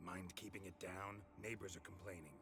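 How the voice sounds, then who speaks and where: A man's put-on character voice, very deep and low in pitch, at a fairly quick pace over loud music in the background. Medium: video game. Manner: terse, dry.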